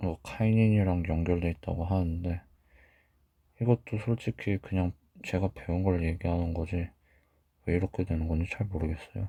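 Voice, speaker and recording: A man's very deep, low pitch with a dark, mellow tone, somewhat breathy, at a moderate pace with fairly even intonation and long, frequent pauses, on a very clean recording with a silent background. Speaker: medical educator. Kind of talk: lecture.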